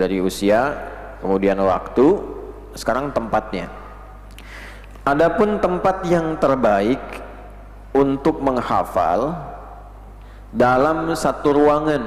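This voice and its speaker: A man with a fairly high pitch speaks at a very slow pace, leaving long, frequent pauses. His pitch swings very widely, and there is noticeable background noise. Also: very even loudness. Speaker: Islamic preacher / religious lecturer. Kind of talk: Islamic lecture (kajian) on memorization tips. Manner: instructive, clear lecturing pace.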